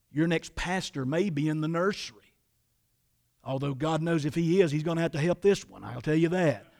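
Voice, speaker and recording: A man talks in an ordinary speaking voice at a fairly high pitch. He keeps a fairly quick pace with fairly even intonation. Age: 60s. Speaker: pastor. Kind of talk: sermon. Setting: church.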